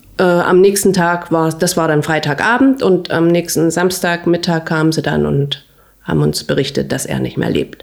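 There is noticeable background noise as a woman speaks in a fairly low pitch. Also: ordinary pitch variation, moderate pace. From Saxony, Großenhain near Dresden. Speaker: hairdresser. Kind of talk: interview.

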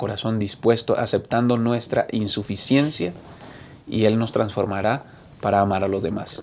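An ordinary speaking voice moves at a fairly slow pace with fairly even intonation. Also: man. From Colombia, Bucaramanga (Santander). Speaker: pastor and program host. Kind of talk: moderated Bible study discussion.

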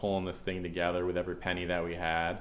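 A man talks at a fairly quick pace in a very deep, low pitch. Audible room echo surrounds the voice. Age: 30s. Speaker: restaurant and beer hall co-owner. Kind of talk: casual chat.

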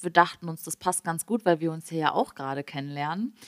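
At a very fast pace, a woman speaks with a very deep, low pitch, the sound dry and close with no echo. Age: 20s. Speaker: podcast co-host. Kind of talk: casual chat.

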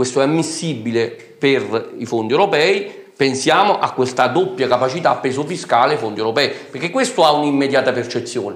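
With audible room echo and noticeable background noise, a man talks fairly quickly in a fairly high voice with ordinary pitch variation. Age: 40s. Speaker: politician, town mayor. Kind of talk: political talk show interview.

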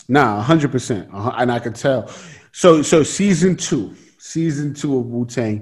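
Somewhat breathy, a man at a medium pitch speaks with lively intonation. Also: moderate pace. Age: 20s. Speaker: podcast host, actor. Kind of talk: casual chat. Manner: animated.

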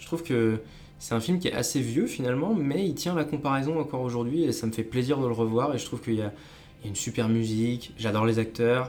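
With audible room echo and noticeable background noise, a man's voice sits at a medium pitch and shows ordinary pitch variation. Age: 20s. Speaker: professional writer. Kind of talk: interview.

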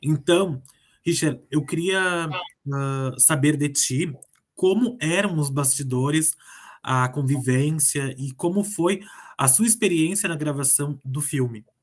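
Speaking at a very slow pace, a man with a fairly high pitch sounds somewhat breathy, his pitch varying in an ordinary way. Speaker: radio host. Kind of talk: radio interview.

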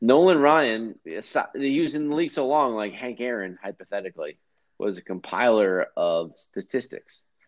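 With a plain, everyday voice, a man at medium pitch speaks at a moderate pace and with lively intonation. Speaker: guest, friend of host. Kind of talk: casual banter.

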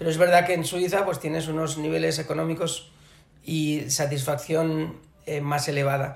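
Noticeable background noise and audible room echo surround a man talking with monotone, flat intonation. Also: moderate pace. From Barcelona, Catalonia. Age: 40s. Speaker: business executive. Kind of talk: interview. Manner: hesitant, many fillers.

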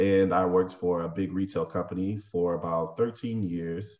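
With an American accent, a man speaks in a very deep, low pitch and a fairly even intonation. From Tampa, Florida. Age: 30s. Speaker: restaurant owner. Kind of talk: interview.

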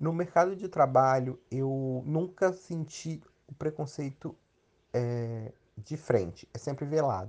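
Talking at a very slow pace, a man uses a fairly high pitch with ordinary pitch variation. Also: quiet background. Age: 30s. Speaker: interviewee, psychology-related. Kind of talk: interview testimony.

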